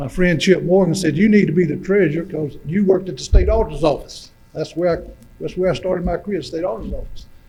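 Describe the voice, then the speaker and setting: A man's high, very fast speech with fairly even intonation amid noticeable background noise. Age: 70s. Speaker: regional development director and wildlife nonprofit chairman. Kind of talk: public meeting presentation. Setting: public meeting with audience, livestreamed. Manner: folksy, halting with fillers.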